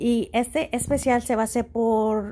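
A woman speaks with a somewhat breathy, dark, mellow tone at a fairly high pitch. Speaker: YouTuber, shopping deals. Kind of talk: tutorial. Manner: halting.

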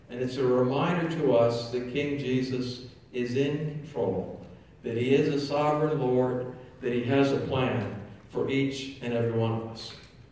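With strong room echo, a man talks at a moderate pace and with fairly even intonation. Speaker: priest or pastor. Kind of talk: sermon. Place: church. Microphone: camera far.

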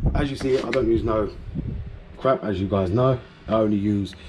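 There is light background noise. A man speaks at a fairly quick pace. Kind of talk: casual vlog chat. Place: garage. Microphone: phone near.

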